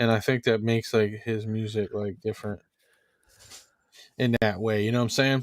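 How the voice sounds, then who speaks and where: Speaking in a monotone, flat way with long, frequent pauses, a man talks with an American accent. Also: medium pitch for a man, moderate pace. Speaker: podcast host and music artist. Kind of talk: casual chat.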